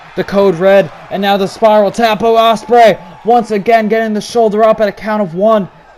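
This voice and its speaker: A man's high voice in a monotone, flat intonation against noticeable background noise. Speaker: video game commentator. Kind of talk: live commentary. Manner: fast.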